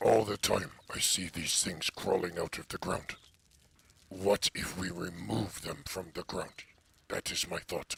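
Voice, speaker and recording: Putting on a character voice, a man speaks at a fairly slow pace with a very deep, low pitch. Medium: actual play. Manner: plain, slightly foreign phrasing.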